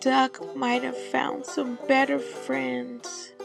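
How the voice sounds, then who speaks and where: Over clear background music, a soft-spoken woman uses a put-on character voice at a very slow pace. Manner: sad.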